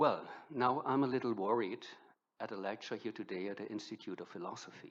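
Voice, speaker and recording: Medium in pitch, a man speaks at a fairly quick pace. He has a German accent. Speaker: professor. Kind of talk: lecture.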